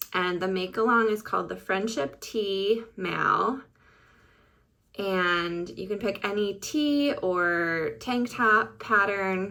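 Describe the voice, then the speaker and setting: At a very slow pace, a voice with a bright, sharp tone and ordinary pitch variation speaks with an Upper Midwest accent. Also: woman, medium pitch for a woman. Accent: Upper Midwest American. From Michigan. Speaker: podcast host, knitter. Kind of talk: casual vlog chat.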